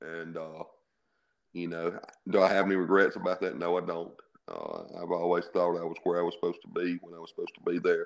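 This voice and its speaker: Speaking with a Mississippi accent, a man talks at a fairly quick pace in a very deep, low pitch with monotone, flat intonation and big swings in loudness. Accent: Southern US (Mississippi). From US South (Mississippi). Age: 50s. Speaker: high school football coach. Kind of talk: interview.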